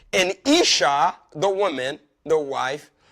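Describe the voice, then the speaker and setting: Loud and animated, a man's voice swings very widely in pitch. The recording is very clean, with a silent background. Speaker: pastor and marriage show host. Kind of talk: marriage teaching talk, sermon-like. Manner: animated, repetitive emphasis.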